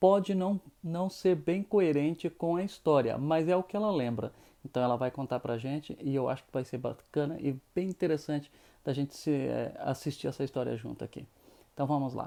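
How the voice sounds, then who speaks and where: Over a quiet background, a man with a dark, mellow tone speaks with ordinary pitch variation and big swings in loudness. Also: fairly high pitch for a man, moderate pace. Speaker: YouTuber. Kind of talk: casual interview intro.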